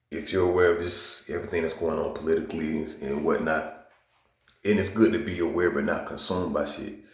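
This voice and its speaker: Amid audible room echo, a man with a very deep, low voice and an American accent speaks fairly quickly with ordinary pitch variation. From US South, Georgia. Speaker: video blogger. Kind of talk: casual monologue. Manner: casual, filler-heavy.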